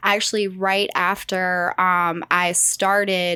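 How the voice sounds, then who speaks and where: Very slowly, a woman with a Southern US accent talks in a medium-pitched voice with a bright, sharp tone, on a very clean recording with a silent background. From South Carolina, USA. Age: 30s. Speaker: mortgage lender. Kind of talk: podcast interview answer. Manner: vibrant, lively.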